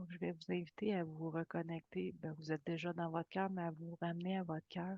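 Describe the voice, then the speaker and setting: A woman speaks at a fairly slow pace in a calm, soothing tone. Her fairly low voice stays monotone, with flat intonation. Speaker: spiritual teacher and channeler. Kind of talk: guided meditation. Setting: live video session.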